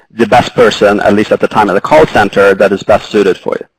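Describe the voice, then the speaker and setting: A man with a Swedish accent is heard in a dry, close sound with no echo. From Sweden. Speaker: retail innovation and data science executive, panelist. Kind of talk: panel discussion.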